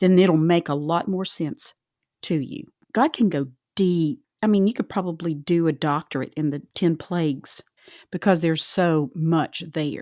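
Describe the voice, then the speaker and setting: In a Southern US accent, a woman speaks at a fairly low pitch with ordinary pitch variation, the sound dry and close with no echo on a very clean recording against a silent background. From US South. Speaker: Bible study podcast host. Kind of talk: casual Bible discussion.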